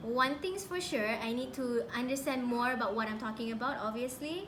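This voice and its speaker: With a Malaysian accent, a woman talks at a moderate pace in a high pitch with lively intonation, amid noticeable background noise and audible room echo. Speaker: beauty vlogger. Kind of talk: casual chat; makeup tutorial.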